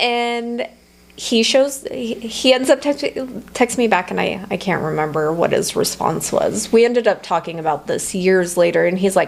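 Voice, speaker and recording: Amid noticeable background noise, a woman talks at a moderate pace and fairly high pitch with lively intonation. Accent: American. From Nevada, US. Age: 30s. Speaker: entrepreneur. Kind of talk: interview. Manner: halting.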